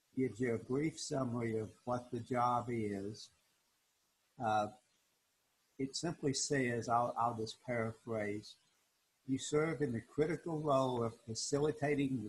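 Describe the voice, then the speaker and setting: Fairly slow, somewhat breathy delivery with fairly even intonation. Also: man. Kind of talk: tutorial. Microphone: video call.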